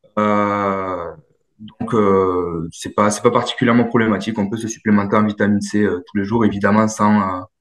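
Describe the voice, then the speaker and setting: This man has a southern French accent and a fairly low pitch. His intonation is monotone and flat at a moderate pace. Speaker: dietitian nutritionist and sports coach. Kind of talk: workshop Q&A answer.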